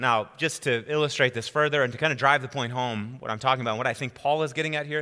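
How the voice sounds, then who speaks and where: A man's bright, sharp voice with an American accent, on a very clean recording with a silent background. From US Midwest, central Wisconsin. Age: 40s. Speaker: pastor. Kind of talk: sermon. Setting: church with congregation.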